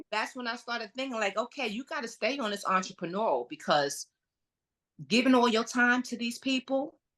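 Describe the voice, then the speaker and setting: A woman speaks in a strong Brooklyn accent, her fairly high voice moving with ordinary pitch variation. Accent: Brooklyn accent, heavy. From New York, Brooklyn. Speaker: entrepreneur, realtor and interior designer. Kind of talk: podcast interview, personal story. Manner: animated storytelling.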